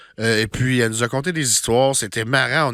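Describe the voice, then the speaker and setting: A bright, sharp-toned voice on a very clean recording with a silent background. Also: man. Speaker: podcast host. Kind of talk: podcast episode intro. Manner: casual, enthusiastic.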